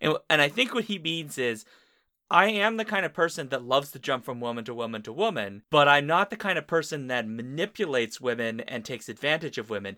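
Fairly quick and bright, sharp in tone, a man speaks in a fairly high pitch with very wide pitch swings. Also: very clean recording, silent background. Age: 30s. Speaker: podcast host. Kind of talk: casual chat.

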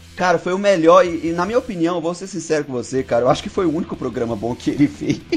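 Over noticeable background noise, a man talks very fast with hardly any pauses. His high-pitched voice has lively intonation. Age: 20s. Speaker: podcast guest. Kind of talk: casual chat.

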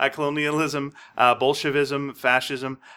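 Speaking at a moderate pace, a man with a medium pitch has a bright, sharp tone. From Quebec, Canada (Montreal). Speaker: podcast co-host. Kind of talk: casual chat.

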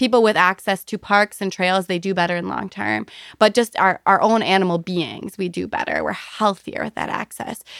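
A woman with a medium pitch speaks at a moderate pace with hardly any pauses. The sound is dry and close with no echo, on a very clean recording with a silent background. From rural Wisconsin, US Midwest. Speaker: construction company president. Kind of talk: interview. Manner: loud; animated.

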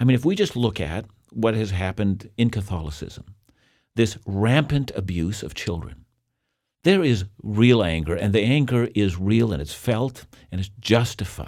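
With a normal speaking voice, a man talks at a fairly low pitch and a moderate pace, his intonation lively, in a very clean recording with a silent background. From Canada. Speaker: Bible teacher. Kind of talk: interview.

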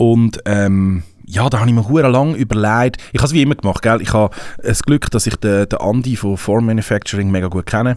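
A man talks in a plain, everyday voice at medium pitch, with ordinary pitch variation. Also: fairly quick pace. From Switzerland. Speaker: rapper. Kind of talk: casual chat. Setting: studio.

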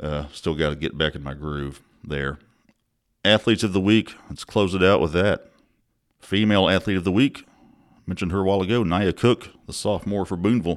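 A man with a Mississippi accent and a very deep, low pitch talks at a fairly quick pace with ordinary pitch variation, leaving long, frequent pauses. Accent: Southern US (Mississippi). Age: 40s. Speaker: sports journalist podcast host. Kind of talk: casual sports podcast report. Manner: casual, many fillers.

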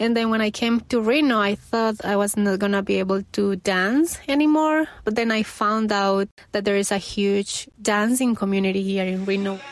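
The speech comes with hardly any pauses and very even loudness, with ordinary pitch variation. It is delivered with a Colombian accent. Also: woman, medium pitch for a woman, moderate pace. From Colombia, Medellin. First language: Spanish. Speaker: student and dancer. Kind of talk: interview.

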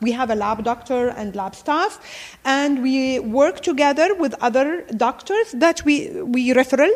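A woman speaks at a fairly slow pace with a high pitch, lively intonation and an Arabic accent. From Jordan, Palestinian family. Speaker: gynecologist. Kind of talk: interview.

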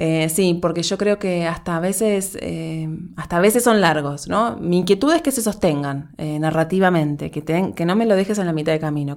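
Heard on a very clean recording with a silent background, a woman with an ordinary speaking voice talks at a fairly quick pace and fairly low pitch, with ordinary pitch variation and hardly any pauses. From Uruguay, Montevideo. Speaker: podcast producer. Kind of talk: interview conversation.

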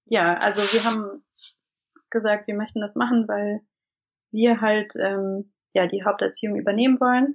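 A woman with a fairly high pitch speaks at a moderate pace in a fairly even intonation, leaving long, frequent pauses. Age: 30s. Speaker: stay-at-home mother of three. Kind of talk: casual interview. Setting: internet call. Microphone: imperfect sound quality over internet call.

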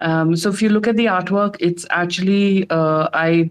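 A woman with an Indian accent at a fairly slow pace, with fairly even intonation. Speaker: digital artist. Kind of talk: casual live audio room chat. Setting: online audio room.

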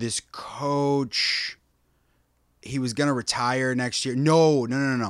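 Speaking very slowly in a Midwestern American accent, the man has a medium pitch and fairly even intonation. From US Midwest (Des Moines, Iowa). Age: 30s. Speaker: actor. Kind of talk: casual chat.

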